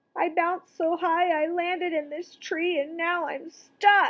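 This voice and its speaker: A woman puts on a character voice at an extremely high pitch. Her delivery is monotone and flat at a fairly slow pace. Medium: read story. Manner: bouncy, cheerful.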